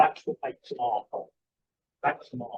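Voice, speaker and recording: This man speaks in a Cockney accent. The sound is dry and close, with no echo. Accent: Cockney London English. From London (East End). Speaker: archivist and curator. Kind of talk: conference lecture.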